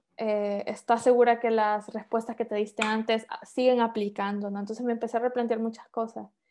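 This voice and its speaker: With a fairly high pitch yet a dark, mellow tone, a woman speaks at a fairly quick pace with hardly any pauses and monotone, flat intonation against a quiet background. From Honduras, San Pedro Sula. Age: 30s. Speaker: engineer and author. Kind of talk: interview.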